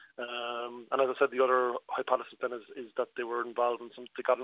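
Here a man speaks with a Cork accent. His pace is fairly quick. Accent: Cork Irish. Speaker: local historian and councillor. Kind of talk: radio interview.

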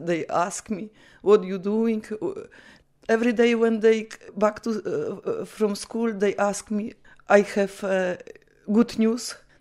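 A woman with a Polish accent at a fairly high pitch, very slow pace and fairly even intonation, on a very clean recording with a silent background. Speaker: Polish immigrant mother. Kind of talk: personal testimony interview. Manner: halting.

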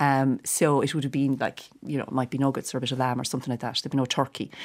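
A woman with a Cork accent speaks at a very fast pace in a very deep, low voice, recorded very cleanly against a silent background. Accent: Cork Irish. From Ireland, Cork. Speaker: actress and comedian. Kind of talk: casual chat.

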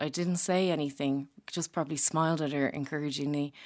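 Talking at a fairly quick pace, a woman with an Irish accent uses ordinary pitch variation. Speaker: comedian. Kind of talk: casual chat.

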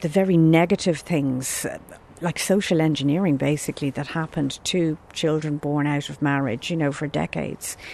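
A woman with an Irish accent has a very deep, low pitch and a dark, mellow tone, speaking at a moderate pace with ordinary pitch variation. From Ireland. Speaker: adoption rights advocate. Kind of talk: interview.

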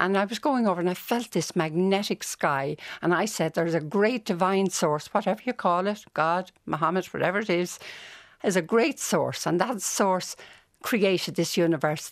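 Speaking at a moderate pace with a Dublin accent, the voice shows ordinary pitch variation and very even loudness on a very clean recording with a silent background. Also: woman. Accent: Dublin Irish. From Dublin, Ireland. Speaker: nun and music educator. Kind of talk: radio interview. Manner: animated.

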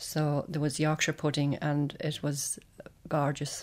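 A woman with an Irish accent, very deep and low in pitch, flat and monotone, on a very clean recording with a silent background. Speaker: singer's daughter. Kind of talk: interview reminiscence.

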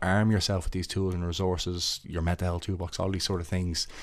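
In a Dublin accent, a man speaks at a very fast pace with a very deep, low pitch. His intonation is monotone and flat, and the recording is very clean with a silent background. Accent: Dublin Irish. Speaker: footballer and mental health ambassador. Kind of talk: interview about mental health. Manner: halting, with repetitions.

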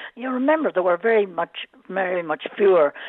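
At a moderate pace, a woman speaks with an Irish accent. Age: 80s+. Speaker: former Olympian, caller. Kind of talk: casual chat. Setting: phone call.

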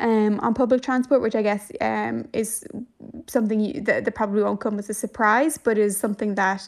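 A woman speaks in a Dublin accent. Her pitch is fairly high, with fairly even intonation. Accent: Dublin Irish. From Ireland, Dublin. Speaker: journalist. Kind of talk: radio interview.

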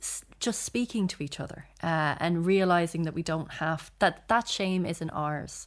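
A woman with an Irish accent speaks at a fairly low pitch with ordinary pitch variation. Her pace is fairly slow, with hardly any pauses. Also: very clean recording, silent background. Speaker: journalist and author. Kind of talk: casual chat.

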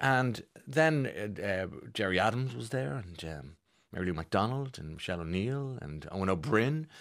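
With an Irish accent, the speaker moves at a moderate pace through very wide pitch swings and big swings in loudness, in a very clean recording with a silent background. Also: man, fairly low pitch for a man. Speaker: radio host. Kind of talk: casual chat.

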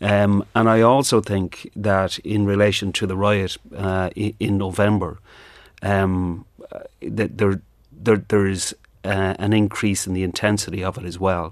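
A man talks at a fairly slow pace with an Irish accent and fairly low pitch. His intonation is monotone and flat, and the background is quiet. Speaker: trade union official. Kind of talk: radio news interview. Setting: studio.

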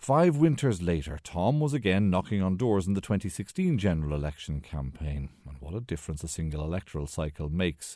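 A man with a dark, mellow tone speaks at a moderate pace, his pitch swinging very widely. The recording is very clean, with a silent background. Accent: Irish. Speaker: radio documentary presenter. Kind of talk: documentary narration. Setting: home living room.

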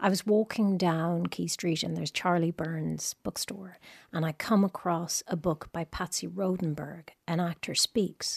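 A somewhat breathy woman's voice, fairly low-pitched with ordinary pitch variation, at a fairly slow pace in a slight Irish accent, dry and close with no echo on a very clean recording with a silent background. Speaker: actress. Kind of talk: casual chat. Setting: studio. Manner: animated.

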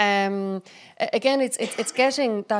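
A plain, everyday voice at a fairly slow pace, with ordinary pitch variation, on a very clean recording against a silent background. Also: woman. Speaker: HR executive, panelist. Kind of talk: live panel discussion. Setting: stage with live audience.

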